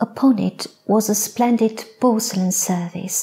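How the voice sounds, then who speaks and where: Soft-spoken and gentle in tone, a woman with a fairly high pitch talks at a very slow pace. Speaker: poet, storyteller. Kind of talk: sleep story. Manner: soft-spoken, gentle. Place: stage. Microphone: lapel.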